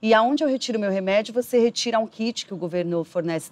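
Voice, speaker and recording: A woman's speech moves at a moderate pace, and her pitch varies in an ordinary way. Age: 30s. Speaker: documentary interviewee living with HIV, marketing professional; interviewee. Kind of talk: personal testimony interview. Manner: halting with frequent fillers. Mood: earnest, reflective. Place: garden.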